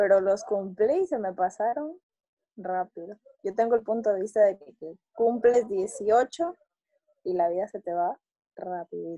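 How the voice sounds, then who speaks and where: In a dark, mellow tone, a woman speaks at medium pitch with ordinary pitch variation and a fairly slow pace, the sound dry and close with no echo. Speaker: student. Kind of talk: casual chat.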